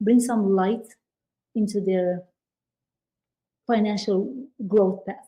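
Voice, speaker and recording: A woman speaks at a fairly slow pace in a fairly high pitch, somewhat breathy. Her tone is dark and mellow, and her intonation stays fairly even. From Europe. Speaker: business credit expert, commercial real estate broker. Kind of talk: podcast interview.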